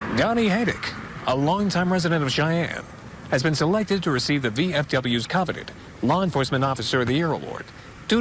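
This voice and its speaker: A man talks at a very fast pace with lively intonation and a fairly high pitch. His loudness stays very even over noticeable background noise. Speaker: television news reporter. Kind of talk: TV news anchor-style story teasers. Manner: clear, polished, professional.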